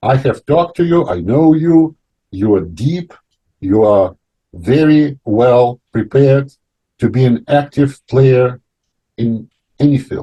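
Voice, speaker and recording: Very slow with long, frequent pauses, a man speaks in a somewhat breathy voice with a dark, mellow tone and lively intonation. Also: medium pitch for a man. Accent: non-native. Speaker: talk show host. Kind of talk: panel discussion. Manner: halting.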